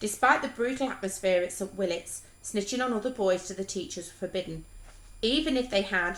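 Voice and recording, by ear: The clip features reading aloud in a natural voice. Pitch variation is ordinary.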